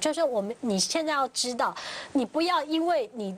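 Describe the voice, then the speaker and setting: A woman speaks at a moderate pace, her pitch swinging very widely. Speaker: TV talk show panelist. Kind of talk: TV panel discussion. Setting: studio. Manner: animated. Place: studio.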